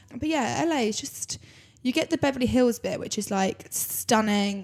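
Speaking at a moderate pace, a woman has vocal fry and fairly even intonation.

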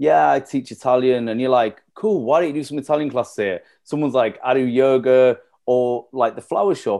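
Against a quiet background, a man with a Yorkshire accent speaks at a moderate pace in a medium pitch, with a dark, mellow tone and ordinary pitch variation. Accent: Yorkshire (Leeds). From northern England, East Leeds. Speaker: cafe and venue co-founder. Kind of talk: casual chat.

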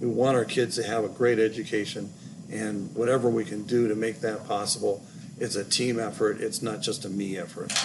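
A man's medium-pitched voice, fairly even intonation, noticeable background noise. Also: fairly quick pace. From Los Angeles, California. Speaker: school facilities director. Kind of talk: casual interview.

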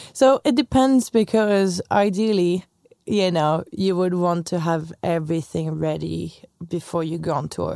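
A woman with a French accent speaks at a fairly slow pace, her fairly low pitch and dark, mellow tone carried by lively intonation. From France. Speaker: tour manager. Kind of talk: casual interview chat.

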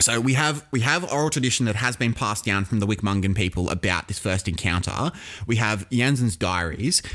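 A man with an Australian accent, fairly low in pitch, at a fairly quick pace, with lively intonation and very even loudness. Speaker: history podcast co-host. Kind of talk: casual educational chat.

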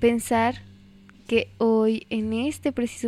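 A woman speaks at a fairly high pitch, her tone dark and mellow, her intonation monotone and flat. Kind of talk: poetry reading. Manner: slow, intimate, wistful.

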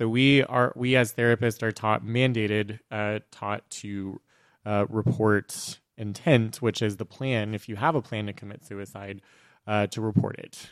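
An unremarkable speaking voice from a man, fairly low and fairly slow with fairly even intonation and big swings in loudness, comes through a very clean, dry, close recording with a silent background and no echo. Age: middle-aged. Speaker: therapist and podcast host. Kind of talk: casual chat.

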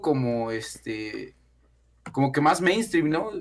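With very wide pitch swings, a man talks at a very slow pace. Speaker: music YouTuber. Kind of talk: casual chat.

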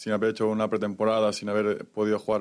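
A man speaks in a Spanish accent at a fairly low pitch and a fairly quick pace. The recording is very clean, with a silent background. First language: Spanish (speaking French). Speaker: football goalkeeper. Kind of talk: press conference.

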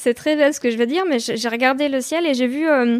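A woman talks at a very fast pace and high pitch, with ordinary pitch variation. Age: 20s. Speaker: singer-songwriter. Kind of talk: interview. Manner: hesitant, many fillers.

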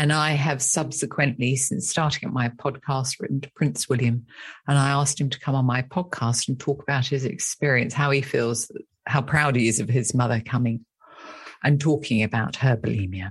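With a British accent, a woman speaks at a moderate pace in a somewhat breathy, very deep, low voice with ordinary pitch variation. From England. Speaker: therapist and author.

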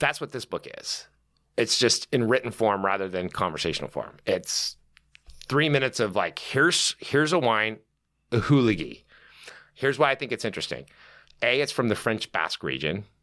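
A man's bright, sharp voice at medium pitch, with vocal fry, lively intonation, a moderate pace and long, frequent pauses, on a very clean recording with a silent background. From Southern California. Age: 50s. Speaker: wine author and sommelier. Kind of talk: casual chat.

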